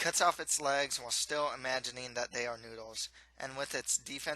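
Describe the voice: It is plain reading aloud, with fairly even intonation.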